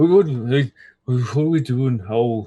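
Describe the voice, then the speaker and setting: Using a put-on character voice, a man speaks at a medium pitch and a fairly slow pace with ordinary pitch variation. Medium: actual play. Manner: halting, stammering.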